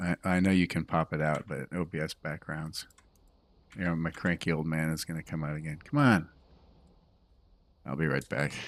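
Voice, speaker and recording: A man with a relaxed tone and a very deep, low pitch, vocal fry, fairly even intonation, a moderate pace with long, frequent pauses, on a very clean recording with a silent background. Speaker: streamer and mod developer. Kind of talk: casual live stream chat. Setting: live stream at home. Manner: relaxed, meandering.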